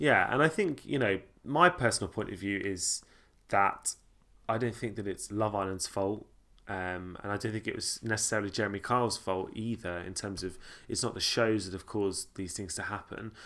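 A man with a southern English accent speaks at a moderate pace in a bright, sharp tone, his fairly low pitch showing ordinary variation. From Sussex, England. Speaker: podcast host. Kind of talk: casual chat. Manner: casual, bantering.

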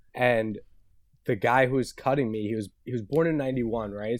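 On a very clean recording with a silent background, an unremarkable speaking voice moves at a fairly quick pace with fairly even intonation. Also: man. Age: 20s. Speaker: podcast guest, longtime friend of the hosts. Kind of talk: casual chat.

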